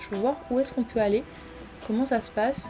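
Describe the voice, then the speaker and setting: Music plays behind the speech. The speaker is a woman. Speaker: gaming YouTuber. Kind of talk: let's play commentary.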